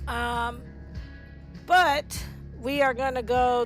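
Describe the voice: A woman's voice with music in the background.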